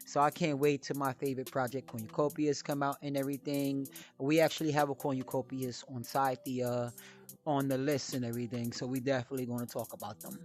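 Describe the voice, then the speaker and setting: Music plays in the background while a man talks at a very fast pace. His intonation stays fairly even. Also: medium pitch for a man. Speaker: crypto podcast host. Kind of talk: solo podcast talk about crypto collectibles. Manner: casual, with many fillers.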